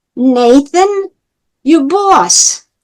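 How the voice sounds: In a strong New York accent, a woman puts on a high-pitched character voice. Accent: heavy New York.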